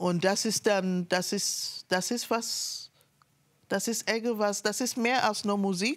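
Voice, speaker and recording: The speech moves at a very slow pace with very even loudness and fairly even intonation over a quiet background. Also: woman. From Sierra Leone. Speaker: artist and activist; guest. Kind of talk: interview talk. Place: studio. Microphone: lapel.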